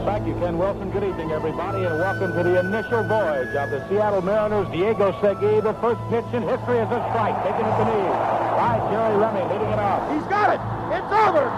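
Over background music, a man with an American accent talks at a very fast pace. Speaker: baseball radio play-by-play broadcaster. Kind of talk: live baseball play-by-play call. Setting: radio broadcast. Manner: excited, passionate.

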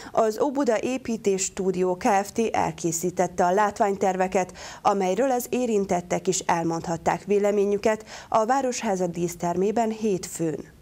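A woman at medium pitch speaks at a fairly slow pace in a dark, mellow tone, with very even loudness and ordinary pitch variation. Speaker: news anchor. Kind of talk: TV news reading. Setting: studio. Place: studio. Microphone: lapel.

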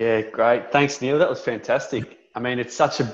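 Against a quiet background, a man speaks with an Australian accent and fairly even intonation. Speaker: local council business officer, webinar host. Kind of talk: webinar introduction and wrap-up; webinar host closing remarks. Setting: online webinar. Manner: friendly, informal. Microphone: video call.

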